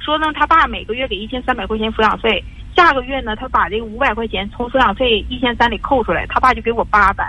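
Very fast and fairly high-pitched, a woman talks with ordinary pitch variation. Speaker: radio call-in caller, divorced mother. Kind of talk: call-in advice conversation. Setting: phone call. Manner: forceful, assertive tone; halting, repetitive.

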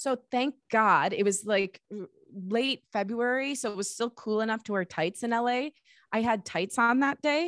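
A woman with an American accent speaks in an unremarkable speaking voice, fairly high-pitched, at a moderate pace with ordinary pitch variation, the sound dry and close with no echo. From US Midwest, suburbs of Detroit, Michigan. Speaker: podcast producer, host and singer-songwriter. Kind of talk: interview.

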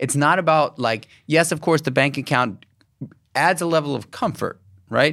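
The voice sounds bright, sharp and animated, with ordinary pitch variation. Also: man, fairly high pitch for a man, moderate pace. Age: 40s. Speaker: podcast host. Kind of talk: interview conversation.

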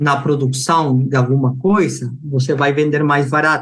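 A man speaks with a Peruvian accent at a fairly high pitch. His voice is somewhat breathy and his intonation fairly even. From Peru, Lima. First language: Spanish (speaking Portuguese). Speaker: engineering researcher. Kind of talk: interview. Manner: halting.

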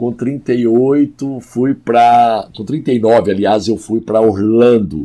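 The tone is dark and mellow, with fairly even intonation. The pace is very slow. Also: man. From Goiás, Brazil (Goiânia). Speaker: pastor and worship songwriter. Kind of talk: podcast interview.

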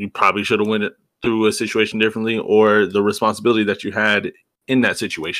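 This man has an unremarkable speaking voice at a medium pitch, moving at a fairly quick pace on a very clean recording with a silent background. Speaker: podcast co-host. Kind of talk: casual chat.

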